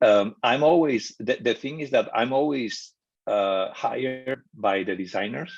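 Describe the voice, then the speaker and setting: Here a man speaks at a fairly slow pace with a non-native accent. His medium-pitched voice has lively intonation. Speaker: architectural photographer. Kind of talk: casual chat. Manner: halting.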